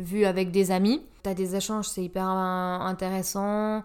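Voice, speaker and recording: A woman with a medium-pitched voice speaks very slowly in a flat monotone, on a very clean recording with a silent background. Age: 30s. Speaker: podcast guest, medical professional. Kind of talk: casual chat.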